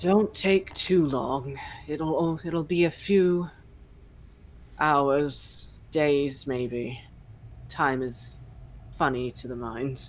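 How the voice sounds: A put-on character voice at a low-to-middle pitch moves at a very slow pace, broken by long, frequent pauses. Light background noise and a rumbling sit behind it.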